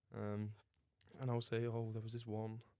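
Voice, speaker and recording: Speaking in a southern English accent, a man uses a medium pitch, a moderate pace, a flat monotone intonation, and a dark, mellow tone. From southern England. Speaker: podcast co-host. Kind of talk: casual chat.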